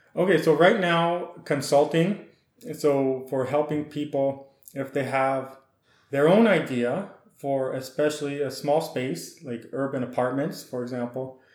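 Speaking with a western Canadian accent, a man talks at a fairly slow pace with ordinary pitch variation. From Saskatchewan, Canada. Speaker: ethnobotanist and garden design consultant. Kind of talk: interview. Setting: podcast recording.

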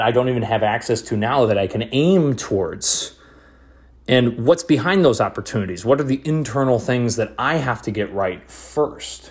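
With an energetic tone and a somewhat breathy quality, a man speaks at a medium pitch and moderate pace, using ordinary pitch variation. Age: 20s. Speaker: podcast host. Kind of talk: motivational solo monologue.

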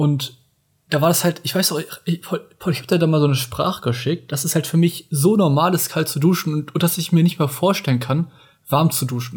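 A man's fairly high voice at a moderate pace, with ordinary pitch variation, an ordinary speaking voice. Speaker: podcast co-host. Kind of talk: casual chat.

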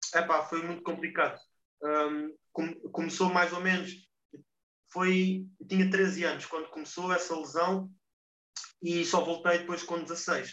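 A man with a high voice speaks fairly slowly in a monotone, flat intonation, leaving long, frequent pauses. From Portugal. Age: 20s. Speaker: football player. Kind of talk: interview. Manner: halting.

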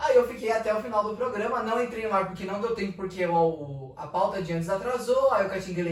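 A man talks very fast at a high pitch with ordinary pitch variation. Noticeable background noise and audible room echo fill the recording. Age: 20s. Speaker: journalism student and church social media influencer. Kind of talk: casual chat.

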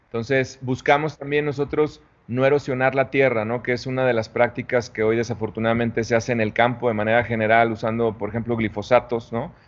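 A man at a medium pitch talks at a fairly quick pace with hardly any pauses, his intonation monotone and flat. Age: 40s. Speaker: tequila brand founder. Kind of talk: interview. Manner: halting, with repetitions.

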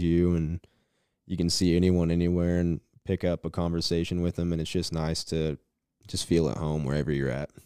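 Very deep and low, a man's voice with a dark, mellow tone and an American accent moves at a moderate pace in monotone, flat intonation, captured in a very clean recording with a silent background and a dry, close sound with no echo. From Goodland, northwest Kansas. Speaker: electrical trade student. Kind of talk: interview. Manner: hesitant, frequent ums.

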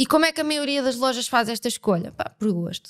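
A woman speaks at a high pitch and a fairly quick pace. The sound is dry and close with no echo, on a very clean recording with a silent background. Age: 30s. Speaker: brand designer, agency CEO. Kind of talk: casual interview.

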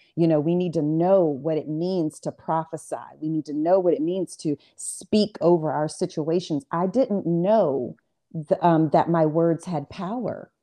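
A woman's ordinary speaking voice, fairly low in pitch, at a fairly slow pace with ordinary pitch variation. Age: 40s. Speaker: author and artist. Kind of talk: casual chat.

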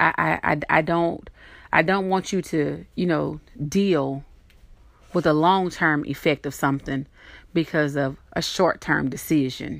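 A woman with a Southern US accent talks at a fairly slow pace in a very deep, low voice, her tone animated and warm and her pitch varying in an ordinary way, on a very clean recording with a silent background. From US South. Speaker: podcast host. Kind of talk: solo podcast talk, encouraging. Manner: animated, warm, laughs often.

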